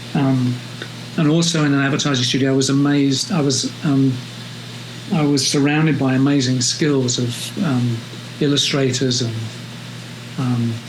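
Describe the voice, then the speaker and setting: In a London accent, a man speaks at a medium pitch and a moderate pace with long, frequent pauses, his intonation fairly even and his loudness very even. Audible room echo and noticeable background noise are present. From London, England. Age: 70s. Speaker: photographer. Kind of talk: interview. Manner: hesitant, many fillers.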